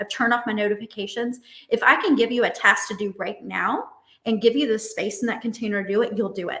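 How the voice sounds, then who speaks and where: Speaking very fast, a woman has a fairly high pitch. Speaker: dating and relationship coach. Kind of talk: online summit talk with exercise. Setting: virtual conference.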